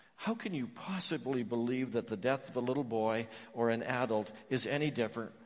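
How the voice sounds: The voice reads naturally. Its pitch shifts by an ordinary amount.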